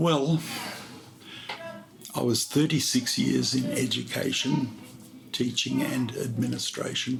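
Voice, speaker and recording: Music plays in the background as a man speaks. Audible room echo surrounds his voice. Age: 70s. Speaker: retired teacher, volunteer English tutor. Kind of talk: interview. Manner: gentle.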